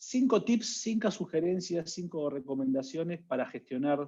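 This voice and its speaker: Talking fairly slowly in an Argentine accent, a man with a high pitch uses lively intonation. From Argentina. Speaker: HR analytics consultant. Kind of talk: webinar talk.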